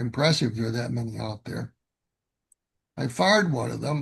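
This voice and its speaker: There's vocal fry in the man's voice. His intonation is lively. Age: 70s. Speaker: model railroader presenting a clinic. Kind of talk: virtual clinic presentation. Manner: halting, many repetitions and fillers.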